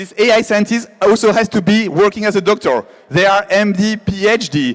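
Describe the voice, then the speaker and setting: A man with a French accent. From France. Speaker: AI biotech founder. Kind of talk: keynote talk. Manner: halting.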